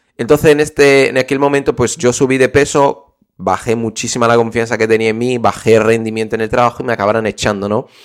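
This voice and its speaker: A man rattles along at a very fast pace with hardly any pauses, using a medium pitch and an animated tone. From Brazil. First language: Portuguese (speaking Spanish). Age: 20s. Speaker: podcast host, online business coach. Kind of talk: solo podcast tutorial.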